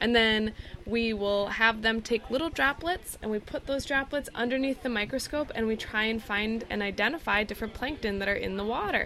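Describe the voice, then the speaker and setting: A woman with an American accent talks at a fairly high pitch and a fairly quick pace, with hardly any pauses. Her pitch varies in an ordinary way, and background noise is noticeable. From northern Michigan. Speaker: education program coordinator. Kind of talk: casual interview. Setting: outdoors on a sailing ship.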